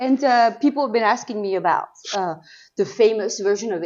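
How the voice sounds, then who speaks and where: A woman with a French accent speaks at a moderate pace, her fairly high pitch showing ordinary pitch variation. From Normandy, France. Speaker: cheesemonger. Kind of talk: interview answer.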